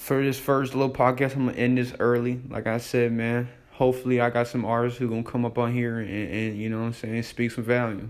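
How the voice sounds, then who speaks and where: A man of medium pitch talks very fast in a monotone, flat delivery with hardly any pauses. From Iowa, Davenport (Quad Cities). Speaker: podcast host and rapper. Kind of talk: casual monologue intro.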